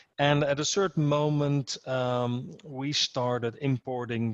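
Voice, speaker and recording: A man with a Dutch accent, fairly even intonation and a fairly slow pace, in a dry, close sound with no echo. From Netherlands. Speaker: security association president, guest speaker. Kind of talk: speech to an association meeting. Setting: video call. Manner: halting, many repetitions and fillers.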